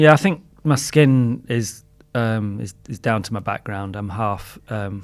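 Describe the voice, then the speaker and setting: This man speaks with a Lancashire accent. His pitch varies in an ordinary way, while his loudness swings widely. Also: medium pitch for a man, fairly slow pace. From northern England, Blackburn, Lancashire. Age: 60s. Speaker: designer. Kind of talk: podcast interview. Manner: halting.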